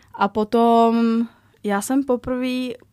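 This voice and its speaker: A woman's voice has a dry, close sound with no echo. The recording is very clean, with a silent background. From Czechia, small town. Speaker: fitness trainer. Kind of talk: casual interview. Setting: studio.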